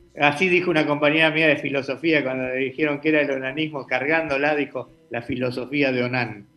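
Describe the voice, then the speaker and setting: With music in the background, a man with a fairly high pitch speaks at a fairly quick pace with fairly even intonation and hardly any pauses. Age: 60s. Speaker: political commentator. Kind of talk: casual political debate.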